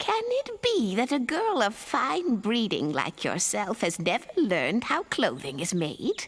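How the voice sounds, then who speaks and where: Doing a cartoonish character voice, a woman talks at a fairly high pitch and a fairly slow pace, with very even loudness and hardly any pauses. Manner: honeyed, knowing.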